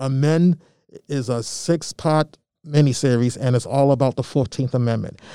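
The speaker has an American accent and keeps a moderate pace. The recording is very clean, with a silent background. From Malden, Massachusetts, with Georgia summers. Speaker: community media arts director and youth mentor. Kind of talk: interview.

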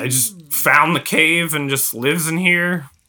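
Raspy and fairly slow, the voice is a put-on character voice. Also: man, fairly high pitch for a man. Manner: hushed, chatty, unsure.

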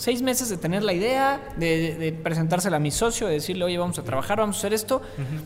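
A man talks at a very fast pace with a high pitch and lively intonation. Noticeable background noise can be heard. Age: 20s. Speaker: entrepreneur and influencer. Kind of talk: interview.

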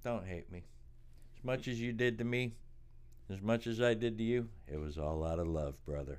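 Audible room echo surrounds a man with an American accent who speaks at a moderate pace with lively intonation and long, frequent pauses. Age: 50s. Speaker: podcast co-host, storytelling father. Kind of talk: casual chat. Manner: laughing often.

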